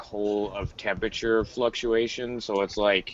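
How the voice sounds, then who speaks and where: A man's medium-pitched voice with a Canadian accent, over noticeable background noise. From Canada. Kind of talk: casual chat.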